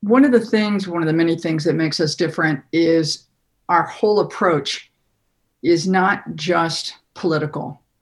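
A plain, everyday voice with ordinary pitch variation goes along at a fairly slow pace. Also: woman. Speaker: party official and media trainer. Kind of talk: interview.

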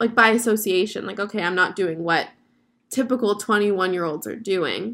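The woman's tone is animated. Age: 20s. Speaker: podcast host. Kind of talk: casual solo podcast monologue.

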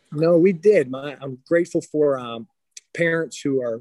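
A man with an American accent has a plain, everyday voice, a fairly high pitch and fairly even intonation. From western Pennsylvania. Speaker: high school basketball coach. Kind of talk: interview.

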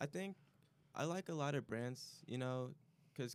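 A plain, everyday voice: a man with an American accent, medium pitch, ordinary pitch variation and a moderate pace. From Chicago area. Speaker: college student. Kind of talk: casual chat.

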